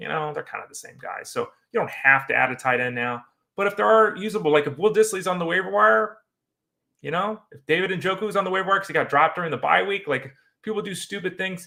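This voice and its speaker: A man's high, bright, sharp voice, raised and projected, very fast, with lively intonation and big swings in loudness. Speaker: fantasy football podcast host. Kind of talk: sports talk show monologue. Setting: studio with green screen.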